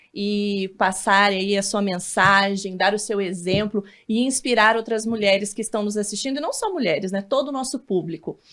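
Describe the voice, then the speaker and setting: A woman with an unremarkable speaking voice talks at a medium pitch and moderate pace with ordinary pitch variation. The recording is very clean, with a silent background. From northern Paraná, Brazil. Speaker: TV interviewer. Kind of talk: interview.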